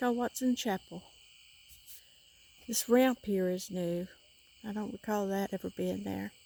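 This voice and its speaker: Speaking quietly in a Southern US accent, a woman with a medium pitch and a dark, mellow tone moves at a fairly slow pace with long, frequent pauses. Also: fairly even intonation. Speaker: paranormal explorer vlogger. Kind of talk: vlog walkthrough narration. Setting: outdoors at a church cemetery at night. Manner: quiet, hushed.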